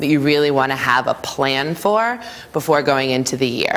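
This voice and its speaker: Noticeable background noise sits behind a woman speaking with lively intonation. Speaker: school leader presenting at staff training. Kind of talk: conference presentation. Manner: fast.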